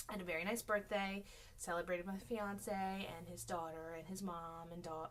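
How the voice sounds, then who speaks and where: A woman's fairly low voice at a fairly quick pace, with fairly even intonation and audible room echo. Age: 30s. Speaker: weight-loss vlogger and teacher. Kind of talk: casual vlog. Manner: rambling with many fillers.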